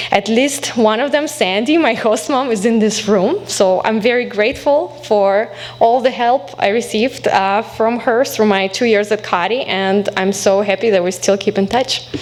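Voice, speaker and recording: At a moderate pace and very even loudness, a woman speaks with a fairly high pitch and ordinary pitch variation. She hardly pauses, and noticeable background noise is present. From Belarus. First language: Belarusian or Russian. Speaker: alumna guest speaker, academic. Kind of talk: speech to college audience.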